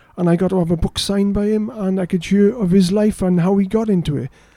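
With a Welsh accent, a man talks at a fairly quick pace in a high pitch, his dark, mellow tone held to fairly even intonation. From South Wales. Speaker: fantasy author. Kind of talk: casual interview chat. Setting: studio.

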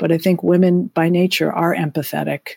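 A woman's dark, mellow tone with vocal fry and ordinary pitch variation, at a moderate pace, with a dry, close sound and no echo. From Massachusetts, US. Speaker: business executive and former pro tennis player. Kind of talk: interview. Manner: halting, with frequent repetitions.

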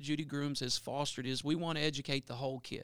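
With a Louisiana accent, a man talks at a fairly quick pace in a bright, sharp tone, the sound dry and close with no echo. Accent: Louisiana Southern US. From northwest Louisiana (Bossier Parish). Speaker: assistant principal. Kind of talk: interview.

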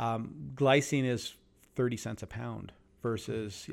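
An ordinary speaking voice from a man with a Canadian accent, medium pitch and ordinary pitch variation, on a very clean recording with a silent background. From Southern Ontario, Canada. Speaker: sports nutrition company founder. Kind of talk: interview.

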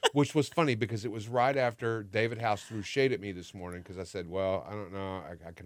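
A man talks at a very fast pace. He has a fairly low voice and a Texan accent. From Texas. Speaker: podcast co-host, radio host. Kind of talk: casual chat.

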